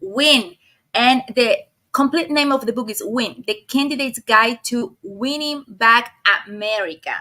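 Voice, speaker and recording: With a Spanish accent, the voice moves at a fairly slow pace. Its tone is bright and sharp, and its intonation lively. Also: woman, high pitch for a woman. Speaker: video podcast host. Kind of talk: interview.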